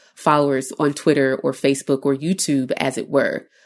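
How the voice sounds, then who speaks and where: Someone with an American accent speaks against a quiet background. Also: woman. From Chicago. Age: 30s. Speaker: astrologer. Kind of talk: casual chat.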